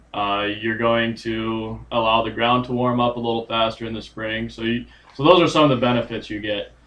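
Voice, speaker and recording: A man talks quietly at a moderate pace, his medium pitch held in fairly even intonation. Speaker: agronomist. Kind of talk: casual chat. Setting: livestream.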